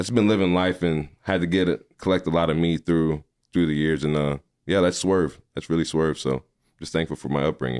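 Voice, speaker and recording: Recorded dry and close with no echo against a quiet background, a man with an American accent talks fairly quickly in a very deep, low voice with fairly even intonation. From Missouri, Farmington. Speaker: podcaster and movie critic. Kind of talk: casual interview. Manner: loud.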